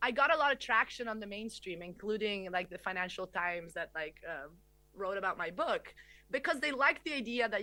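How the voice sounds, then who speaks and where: This woman speaks at a very fast pace in an Italian accent, her medium-pitched voice bright and sharp with lively intonation. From Italy. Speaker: economist. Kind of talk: lecture.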